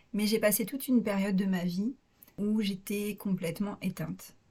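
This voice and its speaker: Over a silent background on a very clean recording, a woman talks at a fairly slow pace in a mid-range, somewhat breathy voice. Her intonation stays fairly even. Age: 30s. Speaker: naturopath. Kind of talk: interview testimony. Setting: recording at host's home.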